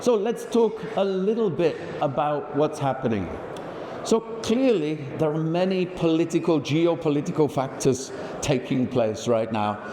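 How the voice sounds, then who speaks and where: Over noticeable background noise and audible room echo, a man with a Birmingham accent speaks fairly slowly in a fairly high voice that makes very wide pitch swings. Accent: English Midlands (Birmingham). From England, Birmingham. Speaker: industry executive. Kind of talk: conference presentation. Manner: shaky voice.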